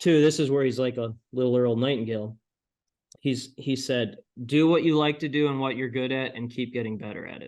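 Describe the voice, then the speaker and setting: A man's normal speaking voice at medium pitch, fairly quick in pace, with fairly even intonation and big swings in loudness. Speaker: PR entrepreneur and author. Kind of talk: interview.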